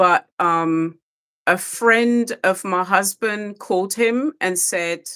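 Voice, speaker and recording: Very slow speech with a British accent, a bright, sharp tone, and a dry, close sound with no echo. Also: woman, medium pitch for a woman, ordinary pitch variation. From UK. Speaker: re-entry program facilitator. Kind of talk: podcast interview.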